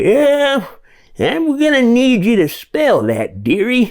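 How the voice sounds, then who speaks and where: Putting on a character voice, a man speaks extremely high-pitched at a very slow pace. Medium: read story. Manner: rambling, forgetful.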